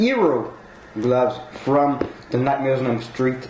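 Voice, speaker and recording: Over noticeable background noise, a man speaks with audible room echo. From Quebec. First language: French. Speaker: collectibles unboxing youtuber. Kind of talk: unboxing review. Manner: halting.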